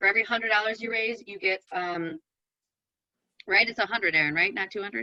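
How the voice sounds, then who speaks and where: A woman speaks very fast in a medium-pitched, bright, sharp voice with ordinary pitch variation and long, frequent pauses, the sound dry and close with no echo. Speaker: event organizer. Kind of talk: online meeting briefing.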